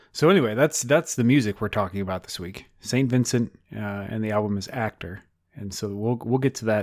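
Recorded very cleanly against a silent background, dry and close with no echo, a man with a normal speaking voice and fairly low pitch talks at a fairly quick pace, with ordinary pitch variation and big swings in loudness. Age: 30s. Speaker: podcast co-host and guitarist. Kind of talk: casual chat.

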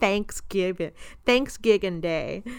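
A woman speaks at medium pitch in an animated tone. Her voice is bright and sharp. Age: 20s. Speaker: podcast host. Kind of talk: casual chat.

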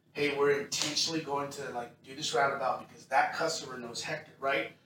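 Noticeable background noise sits behind the man's fairly high-pitched voice as he keeps a moderate pace. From Texas. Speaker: church pastor hosting interview. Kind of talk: casual chat.

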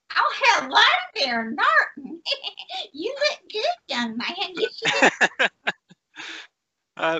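A very slow pace for a put-on character voice. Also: female-sounding voice, extremely high pitch for a woman. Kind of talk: warm, chatty.

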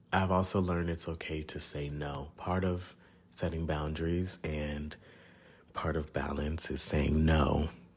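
A man speaks with a very deep, low pitch and a somewhat breathy sound. His delivery is fairly slow, with monotone, flat intonation. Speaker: podcast host. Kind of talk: solo reflective monologue. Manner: casual, conversational with fillers.

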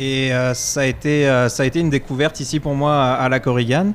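With noticeable background noise behind him, a man speaks fairly quickly in a fairly high pitch and fairly even intonation. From France. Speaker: executive chef. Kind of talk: casual chat.

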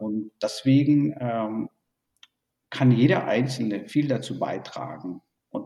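Pitched mid-range, the man's voice varies in pitch in an ordinary way. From born in Burma, raised in Germany. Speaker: tech industry executive. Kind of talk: interview. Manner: hesitant with many fillers.

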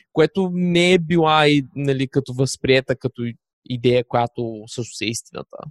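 A man has a normal speaking voice with a fairly high pitch and ordinary pitch variation. He talks at a fairly slow pace, and the sound is dry and close with no echo. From Bulgaria, Varna. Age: 20s. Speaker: digital nomad, podcaster. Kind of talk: casual interview.

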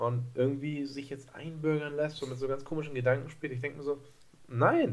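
The man's voice is fairly high in pitch. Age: 20s. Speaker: basketball podcast co-host, student. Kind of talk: casual chat.

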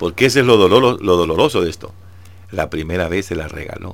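A man talks at a very fast pace. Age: old. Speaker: devotional radio host. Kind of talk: devotional reflection.

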